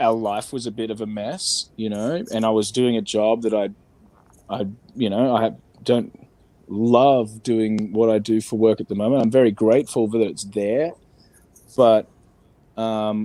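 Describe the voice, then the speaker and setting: With an Australian accent, a man speaks fairly slowly at a medium pitch, leaving long, frequent pauses. His tone is dark and mellow, and his intonation is fairly even. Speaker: entertainment industry worker. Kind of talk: candid interview about mental health.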